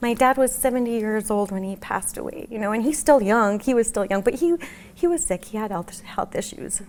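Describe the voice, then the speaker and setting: A woman with an American accent, fairly high in pitch, at a fairly quick pace. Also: lively intonation. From New Mexico, USA. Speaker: bereaved mother. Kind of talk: interview answer.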